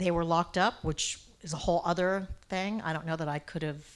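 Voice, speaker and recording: Speaking at a moderate pace, a woman with an unremarkable speaking voice keeps a fairly low pitch and fairly even intonation in a very clean recording with a silent background. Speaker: social worker and poet. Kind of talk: interview.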